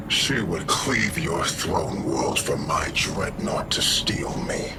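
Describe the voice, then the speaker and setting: A man performs a cartoonish character voice at a very slow pace amid loud background noise. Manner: deliberate, menacing.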